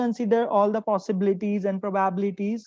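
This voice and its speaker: In an ordinary speaking voice, a woman talks at a fairly quick pace with a fairly high pitch and fairly even intonation, over a quiet background. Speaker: workshop speaker on PhD admissions. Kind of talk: lecture.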